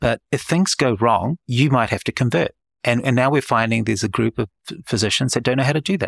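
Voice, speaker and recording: In a New Zealand accent, a man talks at a very fast pace with ordinary pitch variation, on a very clean, dry, close recording with no echo and a silent background. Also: medium pitch for a man. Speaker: head and neck surgeon and founder. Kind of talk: interview.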